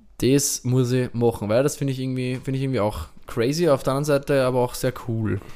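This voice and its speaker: Very fast speech from a man, his intonation fairly even. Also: medium pitch for a man. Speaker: podcast co-host and DJ. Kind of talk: casual chat.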